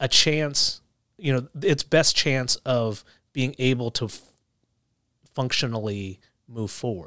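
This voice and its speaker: A man with an American accent talks at a very slow pace and a medium pitch, with long, frequent pauses. His tone is bright and sharp. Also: ordinary pitch variation. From New Jersey, Philadelphia suburbs. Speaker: judge. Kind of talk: interview. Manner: halting.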